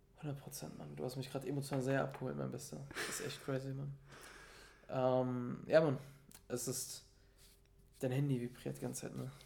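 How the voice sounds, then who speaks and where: A man at a medium pitch sounds somewhat breathy, moving at a moderate pace with long, frequent pauses. Room echo is audible. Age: 20s. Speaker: motivational speaker. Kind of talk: casual chat. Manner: animated.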